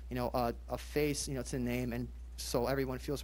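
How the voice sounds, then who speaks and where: Fairly quick male speech in a room with audible echo. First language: Polish. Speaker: police officer. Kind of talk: community meeting talk. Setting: public meeting with audience. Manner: halting, many fillers.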